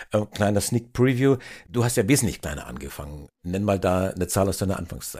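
Talking at a fairly quick pace, a man with a fairly low pitch uses a normal speaking voice and lively intonation. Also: very clean recording, silent background. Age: 50s. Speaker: podcast host. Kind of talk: interview.

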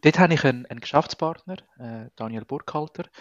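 A man with a fairly high pitch talks at a fairly quick pace with ordinary pitch variation. The sound is dry and close with no echo, over a quiet background. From Venezuela. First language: Spanish (speaking German). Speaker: entrepreneur, recruiter. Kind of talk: interview. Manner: halting, many fillers.

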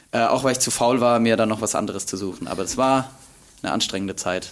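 Fairly even intonation marks speech delivered at a very fast pace. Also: man. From Bavaria, Germany. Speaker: content creator. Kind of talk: casual interview. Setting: university archive room.

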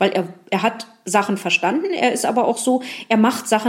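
A woman's intonation is lively, and noticeable noise runs beneath her speech. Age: 40s. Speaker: museum guide. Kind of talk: interview. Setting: museum.

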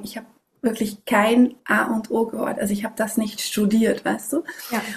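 A woman with fairly high pitch talks at a moderate pace in an unremarkable speaking voice. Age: 30s. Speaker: parenting and sleep coach. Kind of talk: interview. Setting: video call.

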